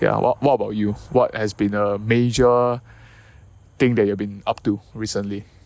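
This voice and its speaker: A man's medium-pitched voice, fairly even in intonation, at a moderate pace. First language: not English. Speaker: podcast co-host. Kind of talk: casual chat. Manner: halting.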